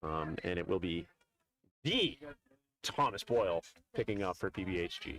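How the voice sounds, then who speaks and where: A man's very deep, low voice with ordinary pitch variation at a moderate pace, with long, frequent pauses and a dry, close sound with no echo. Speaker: sports commentator. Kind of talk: live commentary.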